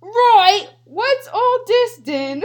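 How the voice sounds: A put-on character voice at an extremely high pitch, with a British accent as part of the act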